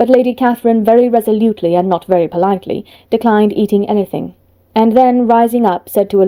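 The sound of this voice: An unforced reading voice with ordinary pitch variation carries the words.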